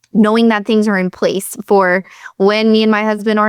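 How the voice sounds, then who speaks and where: A woman with a Southern US accent speaks at a moderate pace in a fairly high pitch, her intonation monotone and flat. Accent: Southern US accent picked up. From Pennsylvania, US. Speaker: chiropractor and business coach. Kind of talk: interview.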